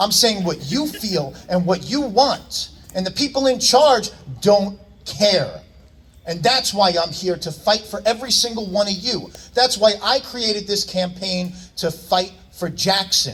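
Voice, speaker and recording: Loud and high-pitched, a man with an American accent talks with ordinary pitch variation over noticeable background noise. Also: fairly slow pace. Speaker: local political candidate. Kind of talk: campaign rally speech. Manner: loud, projecting; animated.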